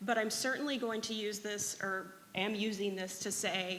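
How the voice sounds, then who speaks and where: Bright and sharp in tone, a woman's medium-pitched voice carries an audible room echo. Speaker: data librarian. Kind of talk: conference talk.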